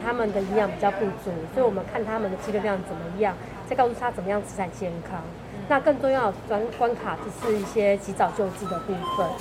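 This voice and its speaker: Speech moves at a fairly quick pace with ordinary pitch variation. Noticeable background noise and audible room echo are present. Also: woman. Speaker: senior project manager at a hospital. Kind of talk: interview. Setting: convenience store.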